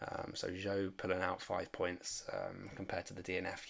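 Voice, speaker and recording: A soft-spoken man talks at a moderate pace with a very deep, low pitch and monotone, flat intonation. Noticeable background noise is present. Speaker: fantasy sports content creator. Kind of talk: casual commentary vlog. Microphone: may be quiet.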